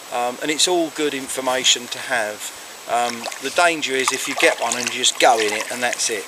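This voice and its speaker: Noticeable background noise and audible room echo both surround a man as he speaks. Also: medium pitch for a man, ordinary pitch variation, fairly quick pace. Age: 60s. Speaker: kayaking hobbyist vlogger. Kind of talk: casual advice talk. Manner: hesitant, with many fillers.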